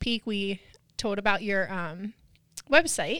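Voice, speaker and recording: A woman with an American accent and a bright, sharp tone, dry and close with no echo, in a very clean recording with a silent background. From Pennsylvania, US. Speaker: podcast host. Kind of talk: interview.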